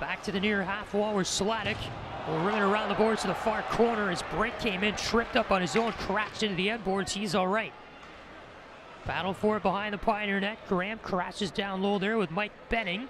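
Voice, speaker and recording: The man's pitch is high and his pace fairly quick, with monotone, flat intonation. The sound is dry with no echo, though there is noticeable background noise. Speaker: student radio play-by-play announcer. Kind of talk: commentary. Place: stadium.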